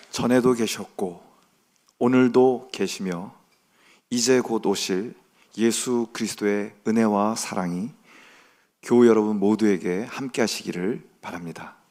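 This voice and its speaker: On a very clean recording with a silent background, a man with a fairly low pitch and a dark, mellow tone speaks at a fairly slow pace, leaving long, frequent pauses. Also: ordinary pitch variation. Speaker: pastor. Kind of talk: sermon. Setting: church.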